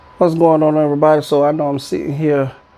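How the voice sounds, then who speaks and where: Noticeable background noise and a man's fairly quick delivery. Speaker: YouTuber giving commentary. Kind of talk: casual vlog commentary. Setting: alone at home in apartment, on camera. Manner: fast; stuttering at times.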